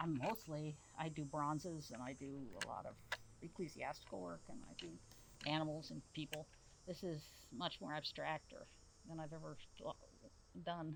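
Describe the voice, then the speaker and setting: Speaking at a moderate pace with long, frequent pauses, a woman uses a very deep, low pitch marked by vocal fry. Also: ordinary pitch variation. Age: 70s. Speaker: sculptor. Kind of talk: casual chat. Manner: halting.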